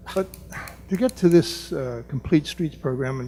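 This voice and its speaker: Over music in the background, a man with an American accent speaks in a fairly high pitch. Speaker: resident speaking at public comment, planning board member. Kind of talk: public comment at council meeting. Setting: township meeting room. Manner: quiet.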